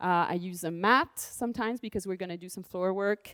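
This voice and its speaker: With a French accent, a woman talks at a moderate pace in a fairly low pitch, recorded very cleanly against a silent background with a dry, close sound and no echo. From France. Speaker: dance and movement teacher. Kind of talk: movement class instruction.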